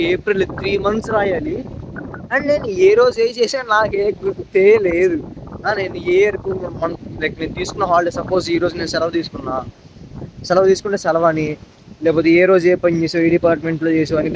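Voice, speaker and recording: A high-pitched man with ordinary pitch variation over noticeable background noise. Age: 20s. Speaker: intern. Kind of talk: casual vlog talk to camera. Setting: outdoors.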